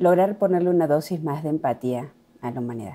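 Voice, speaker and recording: A woman speaks slowly-ish, at a fairly slow pace, in an Argentine accent. Her fairly low pitch has ordinary variation and a dark, mellow tone. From Argentina. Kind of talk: interview.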